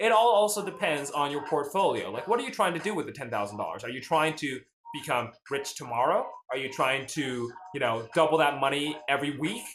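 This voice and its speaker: Fairly high-pitched and lively in intonation, a man with an American accent talks at a fairly quick pace, with audible room echo. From US South, Nashville, Tennessee. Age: 20s. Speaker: finance livestreamer. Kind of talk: casual livestream chat. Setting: live stream. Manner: animated.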